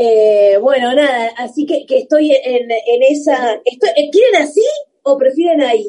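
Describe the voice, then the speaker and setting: A woman's high voice with lively intonation and very even loudness at a fairly slow pace. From Argentina, Buenos Aires southern suburbs (Banfield). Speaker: comedian. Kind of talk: casual chat.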